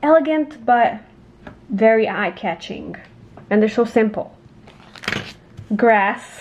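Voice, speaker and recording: Amid noticeable background noise, a woman with a fairly high pitch and lively intonation speaks at a very slow pace, broken by long, frequent pauses. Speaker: crafting youtuber. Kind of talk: casual haul video. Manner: animated.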